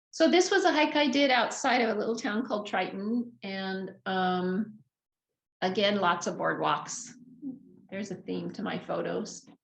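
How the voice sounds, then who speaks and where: At a fairly slow pace, a woman with medium pitch and vocal fry speaks with lively intonation amid audible room echo. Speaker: travel presenter sharing trip photos. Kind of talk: slideshow travel talk. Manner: casual, with many fillers.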